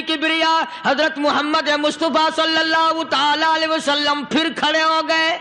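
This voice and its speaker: A man projects a raised voice at an extremely high pitch, keeping his loudness very even. Noticeable background noise runs behind him. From Pakistan. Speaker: Islamic preacher. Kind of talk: religious sermon.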